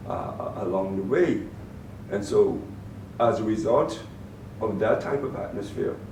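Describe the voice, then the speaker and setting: With a Bahamian accent, a man speaks at a moderate pace amid noticeable background noise and audible room echo. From Bahamas (Grand Bahama), born in Turks and Caicos. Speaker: former public agency director and youth mentor. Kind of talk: interview. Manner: halting, many repeated words.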